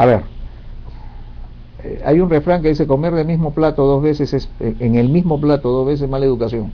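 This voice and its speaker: Talking at a moderate pace, a man with a fairly high pitch shows ordinary pitch variation. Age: 60s. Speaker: career advisor. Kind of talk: interview Q&A advice.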